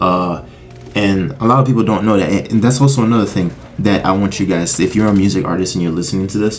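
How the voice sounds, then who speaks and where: Very fast speech with ordinary pitch variation, noticeable background noise and audible room echo. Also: man. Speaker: music YouTuber. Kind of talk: casual vlog monologue. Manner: halting.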